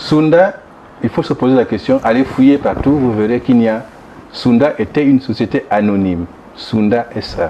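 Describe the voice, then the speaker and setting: There is noticeable background noise behind this speaker. He is a man with a medium pitch. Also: ordinary pitch variation, moderate pace. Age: 60s. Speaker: former government minister, opposition politician. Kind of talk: interview. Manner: halting with repeated false starts.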